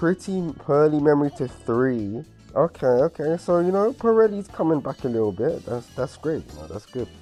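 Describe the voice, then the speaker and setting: A moderate pace with music in the background. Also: hardly any pauses. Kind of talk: casual gaming reaction commentary. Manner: excited, spontaneous.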